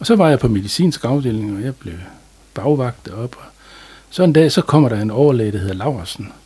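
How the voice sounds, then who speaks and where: At a moderate pace, a man speaks at medium pitch with a dark, mellow tone that is somewhat breathy. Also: lively intonation. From North Jutland, Denmark (Aalbæk). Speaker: general practitioner. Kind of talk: interview. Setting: studio. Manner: calm.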